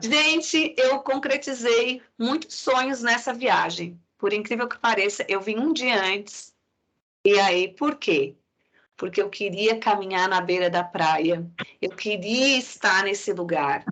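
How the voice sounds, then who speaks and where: Talking very slowly with lively intonation, a woman with a southern Brazilian accent has a fairly high pitch. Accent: non-Pernambuco southern Brazilian. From Santa Catarina, Brazil. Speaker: psychology professor. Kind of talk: lecture.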